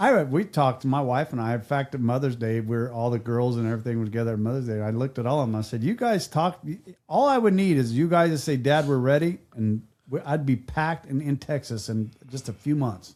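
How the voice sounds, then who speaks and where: A man with a plain, everyday voice and medium pitch talks fairly quickly with ordinary pitch variation on a very clean recording with a silent background. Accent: American. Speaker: podcast host. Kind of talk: casual chat.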